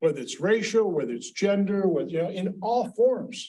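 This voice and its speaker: This man talks at a moderate pace with a high-pitched voice. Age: 60s. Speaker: panelist. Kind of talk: panel discussion. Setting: symposium panel. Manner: halting, repeats words; animated.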